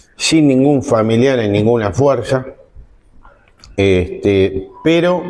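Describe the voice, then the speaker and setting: Background noise is noticeable as a man speaks very slowly. His intonation is lively. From Argentina, Zárate (Buenos Aires province). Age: 60s. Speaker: lawyer and former coast guard officer. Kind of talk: interview testimony. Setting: restaurant recording.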